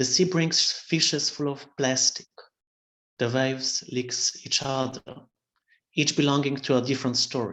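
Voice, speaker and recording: The speaker talks at a fairly slow pace with a Slovene accent. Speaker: poet. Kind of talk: poetry reading.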